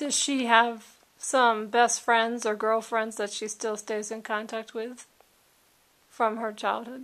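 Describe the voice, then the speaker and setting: In a very clean recording with a silent background, a woman speaks in a fairly high, monotone, flat voice. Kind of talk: interview question.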